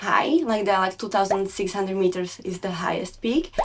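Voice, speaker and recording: A woman of medium pitch speaks with a Slovak accent. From Slovakia. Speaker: snowbike and motocross rider. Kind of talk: casual interview. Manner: halting.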